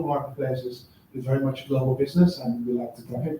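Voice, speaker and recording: A man with a Dutch accent talks at a very fast pace in a fairly high voice. His intonation is fairly even, and there is noticeable background noise. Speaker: agency founder. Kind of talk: live panel interview. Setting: office stage with live audience.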